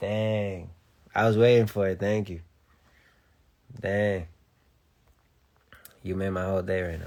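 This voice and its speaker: Pausing long and often, a man with a fairly low pitch speaks in a very clean recording with a silent background. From Latin American heritage. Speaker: livestreamer. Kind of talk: casual livestream chat. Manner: animated.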